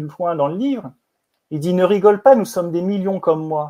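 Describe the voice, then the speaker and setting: Over a silent background in a very clean recording, a man speaks at a high pitch with a dark, mellow tone. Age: 50s. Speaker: film producer and director. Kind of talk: interview conversation.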